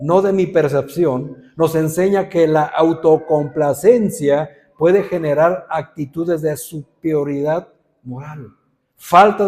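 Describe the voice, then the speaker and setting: Delivered at a very slow pace, the voice has big swings in loudness and ordinary pitch variation. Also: man. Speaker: pastor. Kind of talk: sermon. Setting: church. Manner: serious, stern-sounding.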